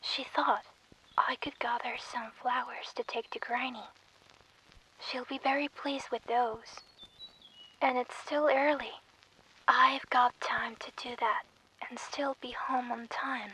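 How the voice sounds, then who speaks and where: Soft-spoken delivery in a gentle tone, at a fairly slow pace with long, frequent pauses, over noticeable background noise. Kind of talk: soft bedtime story reading, ASMR. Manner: soft, gentle.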